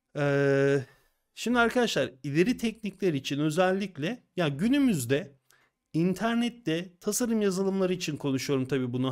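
A man talks in a high pitch with lively intonation and an animated tone against a quiet background. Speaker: design software instructor. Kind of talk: casual chat. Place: home room. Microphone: studio mic.

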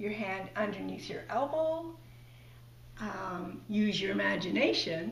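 Audible room echo follows a woman as she talks very slowly. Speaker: puppet demonstrator. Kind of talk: tutorial. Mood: warm, cheerful. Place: home room.

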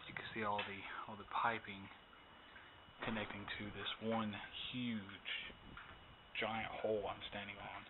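Loud background noise surrounds a man who speaks at a fairly slow pace with long, frequent pauses. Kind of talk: casual vlog narration. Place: factory. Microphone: phone near.

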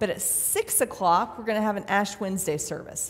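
The woman's pitch shifts in an ordinary way as she talks. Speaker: pastor. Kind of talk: sermon. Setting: church. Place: church.

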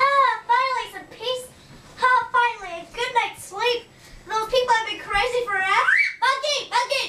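Here is a cartoonish character voice at an extremely high pitch. It moves at a moderate pace. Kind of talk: comedy puppet show performance.

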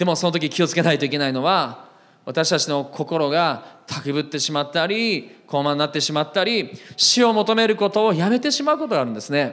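Pitched fairly high for a man, this male voice moves at a fairly quick pace. His intonation is lively. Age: 40s. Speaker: pastor. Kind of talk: sermon. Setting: church. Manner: frequent fillers, conversational. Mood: earnest, emotional. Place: church. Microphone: handheld.

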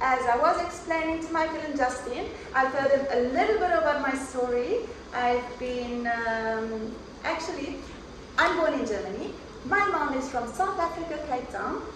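A woman's high voice in an Italian accent with lively intonation, audible room echo and noticeable background noise. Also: moderate pace. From Calabria, Italy. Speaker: local resident. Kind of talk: casual chat. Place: office.

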